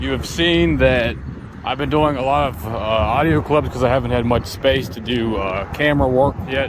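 Recorded dry with no echo but with noticeable background noise, a man speaks at a moderate pace. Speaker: street preacher vlogger. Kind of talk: casual vlog chat. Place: street. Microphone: phone near.

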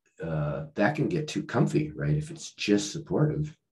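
Over a quiet background, a man with a medium pitch and a dark, mellow tone speaks with vocal fry and very wide pitch swings. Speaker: author and leadership consultant; podcast guest, leadership coach. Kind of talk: podcast interview. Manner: halting, many restarts and fillers. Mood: reflective, engaged. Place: home room. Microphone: video call.

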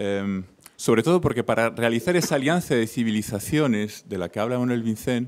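This man has a plain, everyday voice at a medium pitch, moving at a moderate pace with lively intonation. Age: young. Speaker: audience member. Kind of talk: audience question.

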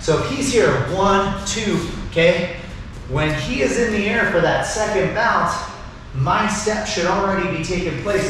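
A man's high voice at a fairly slow pace, with ordinary pitch variation, strong room echo and light background noise. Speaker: martial arts instructor. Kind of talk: tutorial. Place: garage. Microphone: camera far.

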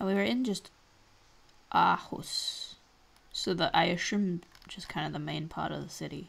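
Using an Australian accent, a woman speaks at a moderate pace with long, frequent pauses and big swings in loudness. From Australia, Victoria. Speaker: gaming youtuber; streamer playing a geography game. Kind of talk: gameplay commentary. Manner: thinking aloud, hesitant. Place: home room.

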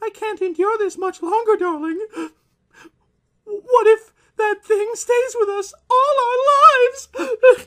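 Using a put-on character voice at an extremely high pitch, a man speaks at a fairly slow pace with long, frequent pauses. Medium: read story. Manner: fearful, desperate.

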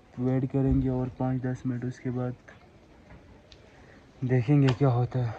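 A man speaks at a medium pitch in a dark, mellow tone with little pitch movement. Room echo is audible.

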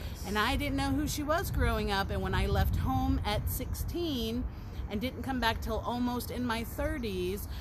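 At a fairly slow pace, a woman talks over noticeable background noise. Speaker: live streamer. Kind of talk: casual vlog chat. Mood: cheerful, relaxed. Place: garden. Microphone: phone near.

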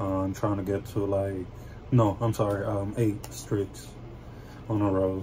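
Over noticeable background noise, a man speaks at a fairly low pitch and fairly slow pace, with ordinary pitch variation and long, frequent pauses. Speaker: gamer. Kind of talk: casual gameplay commentary. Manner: hesitant, many fillers. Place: home room. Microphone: phone near.

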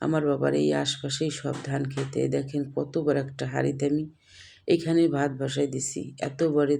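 The tone is dark and mellow, with vocal fry. Intonation stays flat and monotone. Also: woman, very deep, low pitch for a woman. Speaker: cooking vlogger. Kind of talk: vlog narration. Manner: casual, chatty.

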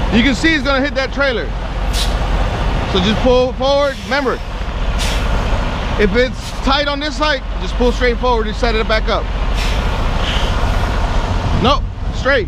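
Speech moves at a moderate pace, broken by long, frequent pauses. Loud background noise fills the recording. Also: dry sound with no echo. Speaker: truck driving trainer. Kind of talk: instruction and coaching. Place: open country.

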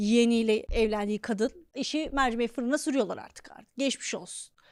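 The delivery is animated, at a moderate pace with ordinary pitch variation. The recording is very clean, with a silent background. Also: woman. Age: 30s. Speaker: comedian and podcast host. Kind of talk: comedic monologue.

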